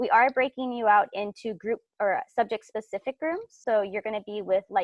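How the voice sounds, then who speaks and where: A woman with a fairly high pitch talks at a fairly quick pace. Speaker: teacher presenting a workshop. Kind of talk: workshop presentation. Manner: fast.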